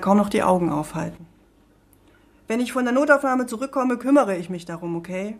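Very fast, lively woman's speech at a medium pitch, with big swings in loudness. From Thuringia, Erfurt. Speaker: author. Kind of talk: reading aloud.

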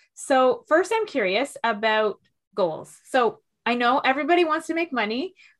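With a Canadian accent, a woman talks at a moderate pace in a high voice full of very wide pitch swings. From Toronto, Canada. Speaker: podcast host and executive coach. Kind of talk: interview.

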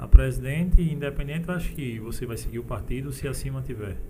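Background music plays throughout. Over it, a man speaks at a moderate speed, his pitch varying in an ordinary way. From sertão of Paraíba, Brazil. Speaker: podcast host. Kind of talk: casual interview. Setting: studio.

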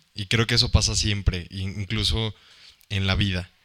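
A man with a fairly low pitch and a bright, sharp tone speaks at a fairly slow pace with fairly even intonation. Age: 20s. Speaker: podcast co-host. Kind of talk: casual chat. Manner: halting, repeats words.

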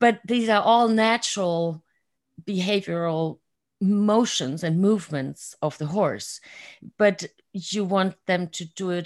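A woman talks fairly slowly with a German accent and a fairly low pitch. The recording is very clean, with a silent background. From Germany. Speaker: excellence coach and artist. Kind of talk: interview.

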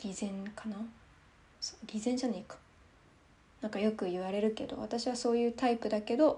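A woman's fairly high voice, fairly even intonation, a fairly quick pace and long, frequent pauses. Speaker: solo podcast host. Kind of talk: casual monologue while drinking wine.

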